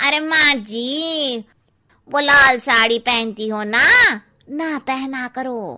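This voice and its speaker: In a cartoonish character voice, a woman talks at a very slow pace with a high pitch and ordinary pitch variation. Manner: blunt, cheeky.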